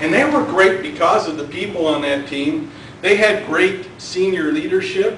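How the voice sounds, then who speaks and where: In a room with audible echo and noticeable background noise, a man speaks fairly slowly in a high pitch with lively intonation. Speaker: Toastmasters club member giving a speech. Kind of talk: prepared club speech. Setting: club meeting with audience. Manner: louder than normal.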